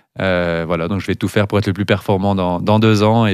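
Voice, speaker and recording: A man speaks very deep and low in a monotone, flat way at a fairly quick pace. The sound is dry with no echo over a quiet background. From Valais, Switzerland; Switzerland. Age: 30s. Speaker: cross-country skier; guest. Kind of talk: interview. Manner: halting, repeats words. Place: studio. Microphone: studio mic.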